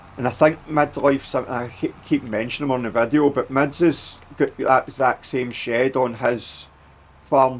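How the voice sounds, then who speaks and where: Medium-pitched male voice in a Scottish accent, at a fairly slow pace with fairly even intonation. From Scotland. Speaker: gaming YouTuber. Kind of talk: gameplay commentary. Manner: casual, filler-heavy.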